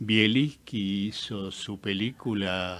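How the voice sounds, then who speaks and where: An Argentine accent at a very slow pace, in a very clean recording with a silent background. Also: man. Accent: Argentine Spanish (Rioplatense). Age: 80s+. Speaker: film director. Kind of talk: radio interview.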